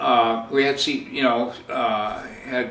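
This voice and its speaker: Noticeable background noise and audible room echo both surround the man's speech. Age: 80s+. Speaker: podcast host, outdoorsman. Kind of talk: casual storytelling. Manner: halting, many fillers and repeats.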